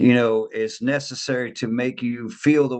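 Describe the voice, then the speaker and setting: Speaking at a medium pitch with ordinary pitch variation, the man has an unremarkable speaking voice. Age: 50s. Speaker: life coach. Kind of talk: casual chat.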